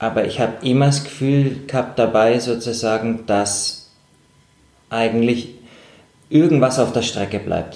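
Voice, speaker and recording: Speaking at a fairly slow pace with long, frequent pauses, a man with a medium pitch keeps his intonation fairly even, and audible room echo surrounds his voice. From Germany. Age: 30s. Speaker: professional mountaineer and climber. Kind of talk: interview. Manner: halting, many fillers and repetitions.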